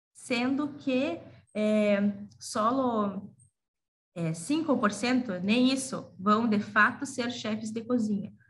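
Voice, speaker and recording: Amid audible room echo, a woman speaks very slowly in a somewhat breathy, fairly high voice with ordinary pitch variation. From Brazil. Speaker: gastronomy teacher and researcher. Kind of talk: conference presentation. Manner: halting, many fillers.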